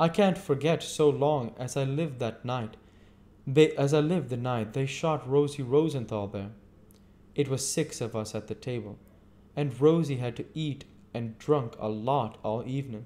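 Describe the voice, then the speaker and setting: The voice has a dark, mellow tone, moves at a moderate pace and shows ordinary pitch variation. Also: man. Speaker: amateur reader. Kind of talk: audiobook reading. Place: home room. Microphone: webcam.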